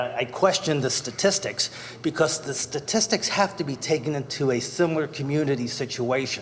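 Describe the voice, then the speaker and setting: Fairly high and at a moderate pace, a man's a plain, everyday voice, its pitch varying in an ordinary way. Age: 60s. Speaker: resident speaking at public comment. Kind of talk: public comment at council meeting. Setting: council chambers. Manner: formal.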